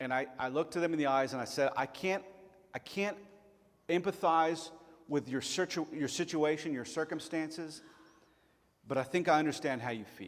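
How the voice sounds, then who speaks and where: A man's fairly high voice in a Tennessee accent, at a fairly quick pace with ordinary pitch variation. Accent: southern US (Tennessee). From Chattanooga, Tennessee (US South). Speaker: pastor. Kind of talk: sermon.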